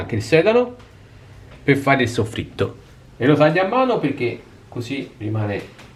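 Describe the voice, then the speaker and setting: A man with an Italian accent speaks at a fairly quick pace with lively intonation. His voice is somewhat breathy, and he leaves long, frequent pauses. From Italy. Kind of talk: casual cooking talk to camera.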